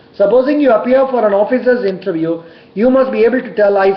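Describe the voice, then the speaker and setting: A fairly quick delivery amid noticeable background noise. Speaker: bank interview coach. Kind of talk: tutorial. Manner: loud.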